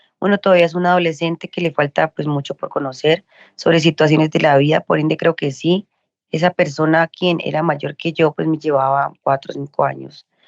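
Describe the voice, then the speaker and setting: The woman's very deep, low voice moves at a fairly quick pace in a flat monotone, and the sound is dry and close with no echo. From Colombia. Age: 20s. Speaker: social worker and sex educator. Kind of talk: personal testimony in interview.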